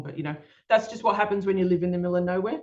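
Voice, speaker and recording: A woman with an Australian accent talks with ordinary pitch variation. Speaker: children's book author and illustrator. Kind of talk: presentation talk. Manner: hesitant, many fillers.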